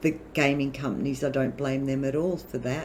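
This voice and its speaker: This woman speaks with an Australian accent in a very deep, low voice, her intonation monotone and flat. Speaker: gamer youtuber. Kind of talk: casual chat.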